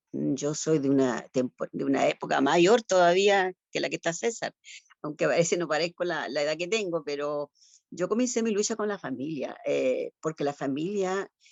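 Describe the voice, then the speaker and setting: Her intonation is lively as the woman talks at a moderate pace. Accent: Chilean. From Chile, Concepción. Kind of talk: panel discussion. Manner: halting.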